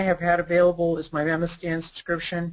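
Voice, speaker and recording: A man is speaking. His pitch is high. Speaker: presenter, data analytics consultant. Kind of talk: webinar presentation with screen demo. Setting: online webinar, recorded. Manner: fast.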